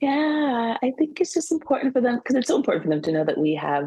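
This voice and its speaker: Dry and close with no echo, a woman's somewhat breathy voice carries a dark, mellow tone and an American accent, her pitch swinging very widely. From California. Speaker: social worker and play therapist. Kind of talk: interview.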